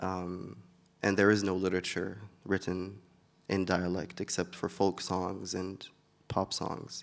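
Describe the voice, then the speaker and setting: Fairly slow, monotone speech with flat intonation and long, frequent pauses in an Arabic accent, on a very clean recording with a silent background. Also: man, very deep, low pitch for a man. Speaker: poet. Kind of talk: interview. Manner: hesitant, many filler words.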